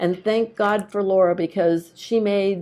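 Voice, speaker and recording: This woman has a dark, mellow tone and medium pitch. She speaks at a moderate pace with monotone, flat intonation. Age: 60s. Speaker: testimonial speaker, intuitive reader. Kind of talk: testimony.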